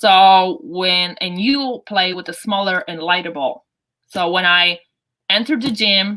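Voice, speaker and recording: A woman speaks with a Polish accent at a fairly slow pace. Her pitch is medium, with ordinary variation. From Poland. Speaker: basketball coach. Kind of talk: interview. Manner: halting.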